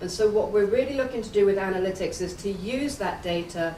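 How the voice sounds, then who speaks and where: Speaking in an English accent, a woman at medium pitch keeps a fairly quick pace. Noticeable background noise and audible room echo surround her voice. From England. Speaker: analytics executive, keynote speaker. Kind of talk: conference keynote.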